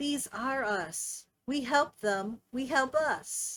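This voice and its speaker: Someone talks very slowly in a put-on character voice. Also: woman, high pitch for a woman. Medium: read story. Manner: broken, simple speech.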